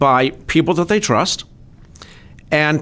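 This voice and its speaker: A man speaks in an unremarkable speaking voice with ordinary pitch variation. His pace is moderate, and the recording is very clean with a silent background. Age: 50s. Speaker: financial adviser. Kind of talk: interview.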